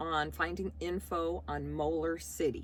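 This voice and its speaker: A woman's very deep, low voice with an American accent, vocal fry and very wide pitch swings. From US Midwest, Chicago. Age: 60s. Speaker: vlogger. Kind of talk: casual Q&A vlog.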